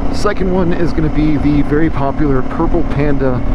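Loud background noise accompanies a man's voice. No echo is heard, leaving the sound dry. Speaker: motovlogger. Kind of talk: casual vlog chat. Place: motorbike. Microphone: lapel.

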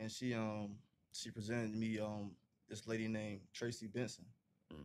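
Over light background noise, a man talks in a fairly low pitch with a monotone, flat intonation. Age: 20s. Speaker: college football player; interview guest. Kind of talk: interview. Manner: casual, filler-heavy. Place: home room. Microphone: studio mic.

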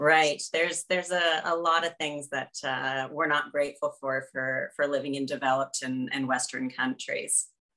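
A woman with a Canadian accent speaks at a moderate pace in a very deep, low pitch. Her intonation is fairly even, and the background is quiet. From Canada. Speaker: podcast host, consultant; podcast host. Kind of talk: interview. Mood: warm, cheerful. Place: home room. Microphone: webcam.

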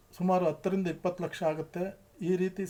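Monotone, flat intonation in a dark, mellow tone. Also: man. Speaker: retired tax officer and activist. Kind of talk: public appeal. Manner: halting.

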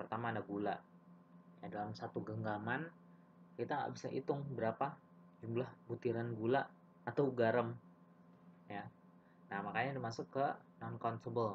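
A man speaks with ordinary pitch variation. He leaves long pauses, and often. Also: medium pitch for a man, moderate pace. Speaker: English teacher. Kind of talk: lecture. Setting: video lesson for elementary students.

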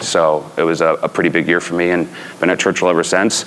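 With an American accent, a man speaks at a moderate pace in a very deep, low pitch. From New York. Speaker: horse race announcer. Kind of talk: panel storytelling. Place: hall.

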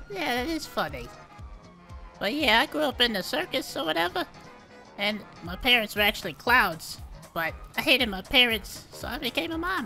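Over clear background music, a put-on character voice with fairly high pitch moves at a moderate pace, broken by long, frequent pauses. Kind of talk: comic streetwise bravado. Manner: brash, swaggering, profane.

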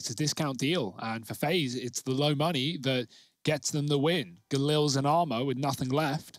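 On a very clean recording with a silent background, a man with a London accent speaks at a fairly high pitch with ordinary pitch variation. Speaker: esports commentator. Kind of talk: live commentary. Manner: fast.

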